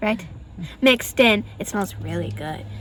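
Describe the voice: With lively intonation and a fairly bright tone, a woman at medium pitch speaks at a fairly slow pace.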